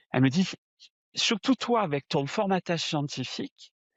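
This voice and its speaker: A man speaks with a southern French accent. His pitch is fairly high and his intonation lively. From southern France. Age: 60s. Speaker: spiritual medium. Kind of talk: interview testimony. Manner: hesitant, frequent fillers and repetitions.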